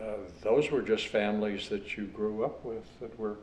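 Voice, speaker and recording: A man with a Western US accent speaks at a fairly slow pace in a fairly low pitch. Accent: Western American. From Virginia City, Nevada. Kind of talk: oral history interview answer. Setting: indoor interview. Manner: humorous, conversational.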